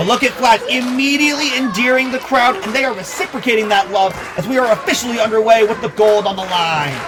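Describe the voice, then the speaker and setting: With music in the background, a man talks at a fairly quick pace using lively intonation. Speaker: wrestling commentator. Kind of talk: live match commentary. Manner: energetic, enthusiastic.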